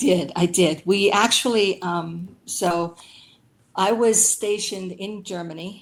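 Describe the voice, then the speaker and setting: A woman with a Pennsylvania accent, speaking at a very slow pace with fairly even intonation. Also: medium pitch for a woman. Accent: Pennsylvania American English. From rural Pennsylvania. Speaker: Air Force veteran, aircraft mechanic. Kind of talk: interview answer.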